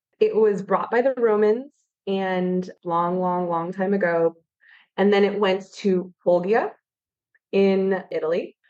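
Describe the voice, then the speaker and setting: In an American accent, a woman talks at a very slow pace with a medium pitch and fairly even intonation. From California. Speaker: wine expert. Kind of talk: podcast interview.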